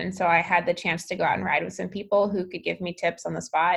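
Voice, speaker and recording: A woman with vocal fry and a fairly low pitch, against a quiet background. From Alaska. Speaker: professional cyclist and venture capitalist. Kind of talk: interview.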